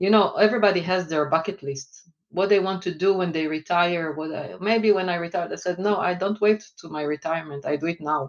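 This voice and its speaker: Israeli accent at a fairly quick pace, with hardly any pauses. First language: Hebrew. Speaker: finance executive. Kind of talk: interview. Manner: hesitant, many fillers.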